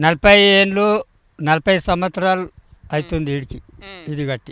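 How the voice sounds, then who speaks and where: A man speaks in a bright, sharp tone with ordinary pitch variation. The sound is dry and close with no echo. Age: old. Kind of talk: interview answer. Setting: outdoors.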